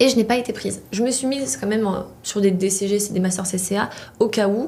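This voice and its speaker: A woman with a Polish accent at a moderate pace, amid audible room echo and noticeable background noise. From Poland. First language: Polish (speaking French). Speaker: chartered accountant, student association president. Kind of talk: interview.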